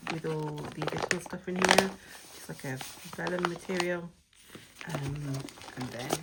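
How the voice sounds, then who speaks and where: A woman with a very deep, low voice and fairly even intonation pauses long and often, her loudness swinging widely over noticeable background noise. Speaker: planner and journaling unboxing vlogger. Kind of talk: casual unboxing video. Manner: hesitant, many fillers.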